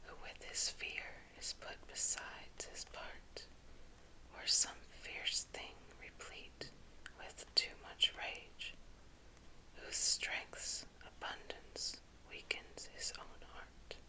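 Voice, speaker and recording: A whisper at a very slow pace, gentle and soothing in tone, with long, frequent pauses. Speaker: ASMR creator / whisper reader. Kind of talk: ASMR poetry reading for sleep. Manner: whispered, gentle, soothing.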